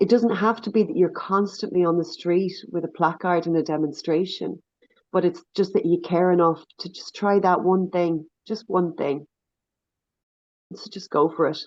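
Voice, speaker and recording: Delivered at a moderate pace with an Irish accent, the speech has fairly even intonation but big swings in loudness. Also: woman, fairly low pitch for a woman. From Ireland. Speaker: NGO leader and activist. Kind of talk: podcast interview.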